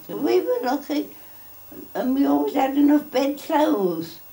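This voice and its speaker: A woman's pitch swings very widely. Noticeable background noise runs behind her. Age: 90s. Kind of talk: interview answer.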